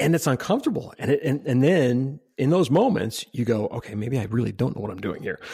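Quick and with hardly any pauses, a man's medium-pitched, dark, mellow voice comes across somewhat breathy, with lively intonation. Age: 50s. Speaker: podcast host and UX consultant. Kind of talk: casual interview conversation.

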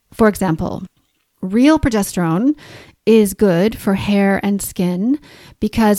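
Speaking fairly slowly, a woman uses a medium pitch with ordinary variation and a dark, mellow tone. The sound is dry and close, with no echo. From Canada. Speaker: naturopathic doctor and podcast host. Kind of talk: educational podcast monologue. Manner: clear, explanatory, friendly.

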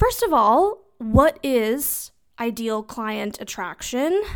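A fairly high-pitched woman with an American accent at a very slow pace, lively intonation, very clean recording with a silent background. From US West (Southern California). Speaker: business coach and podcast host. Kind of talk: solo podcast monologue, live-streamed teaching. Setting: Instagram live recording. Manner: casual, animated with frequent laughs.

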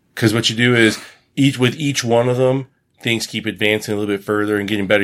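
In an American accent, a man talks at a very fast pace and a medium pitch. His intonation is fairly even, and the recording is very clean with a silent background. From United States. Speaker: podcast guest discussing online dating. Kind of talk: casual chat.

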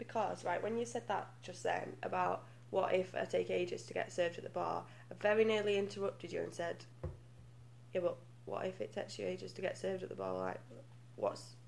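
A fairly quick delivery with a British accent. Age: 20s. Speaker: guest. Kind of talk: casual chat.

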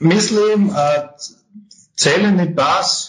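This man speaks with a German accent. His pitch variation is ordinary. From Austria. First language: German (speaking Slovak). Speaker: tax advisory firm partner. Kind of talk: interview. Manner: halting, hesitant.

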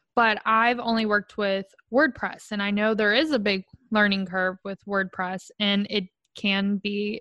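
A woman's medium-pitched voice with a Southern US accent and a bright, sharp tone, dry and close with no echo against a quiet background. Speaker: podcast host. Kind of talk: casual interview chat. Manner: animated, enthusiastic.

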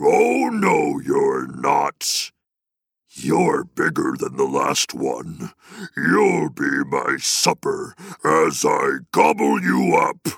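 A man bellows very slowly in a raspy, menacing put-on character voice. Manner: bellowing, menacing.

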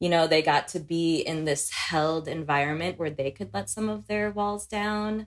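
In an American accent, a woman with a fairly low voice talks at a moderate pace with lively intonation and hardly any pauses. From Philippines, then raised in the US from age six. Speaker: healing practitioner. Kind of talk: casual chat. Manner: laughs often.

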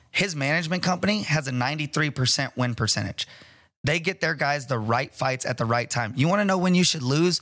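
A man talks at a fairly quick pace in an ordinary speaking voice. His pitch is fairly high, and his intonation is lively. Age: 30s. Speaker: martial arts gym owner and fight promoter. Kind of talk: casual chat.

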